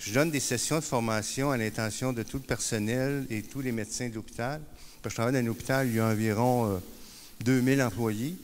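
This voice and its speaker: Room echo can be heard around a man speaking at a medium pitch. He talks fairly quickly with fairly even intonation. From Quebec. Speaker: peer support worker and speaker. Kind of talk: conference talk. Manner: hesitant, many fillers and repetitions.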